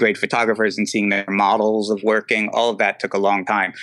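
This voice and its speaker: The pace is fairly quick. The tone is bright and sharp. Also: man. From New Jersey. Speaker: photographer and director. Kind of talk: casual interview chat.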